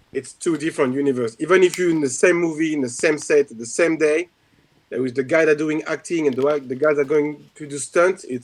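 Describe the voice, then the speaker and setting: A man speaks at a moderate pace with a strong French accent. His pitch is fairly high, with ordinary variation. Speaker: martial arts instructor and stunt performer. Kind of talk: casual chat.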